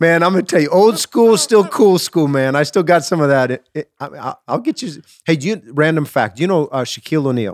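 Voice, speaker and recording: A man talks with lively intonation and hardly any pauses. His is an unremarkable speaking voice. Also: fairly high pitch for a man, fairly quick pace. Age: 40s. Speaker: pastor and podcast host. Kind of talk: casual chat.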